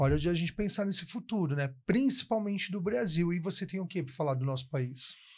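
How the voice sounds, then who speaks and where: This man talks at a fairly quick pace with hardly any pauses, using a high pitch and lively intonation. The background is quiet. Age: 20s. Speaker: TV talk show host. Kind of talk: TV interview.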